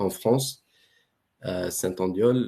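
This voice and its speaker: A man speaks very slowly in a fairly low voice. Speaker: research center director. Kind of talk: webinar presentation. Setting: online webinar.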